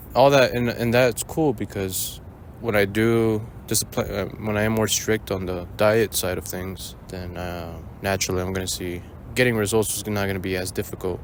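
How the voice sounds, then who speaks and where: Keeping a moderate pace, a man talks with a fairly low voice. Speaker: running vlogger. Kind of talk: casual vlog monologue. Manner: monotone; rambling, hesitant with fillers.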